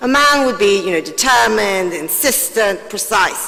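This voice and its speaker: Audible room echo and noticeable background noise fill the space while a woman talks at a moderate pace. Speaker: panelist. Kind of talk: panel discussion.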